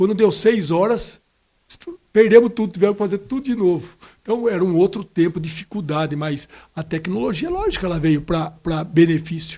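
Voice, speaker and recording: High-pitched male speech, dark and mellow in tone. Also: ordinary pitch variation, moderate pace. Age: 60s. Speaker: city councillor. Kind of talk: podcast interview. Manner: halting, with many repetitions.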